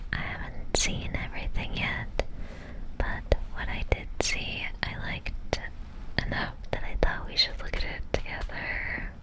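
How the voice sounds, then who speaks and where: A woman whispers at a fairly slow pace amid noticeable background noise. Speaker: ASMR creator. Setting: studio microphone recording. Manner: whispered.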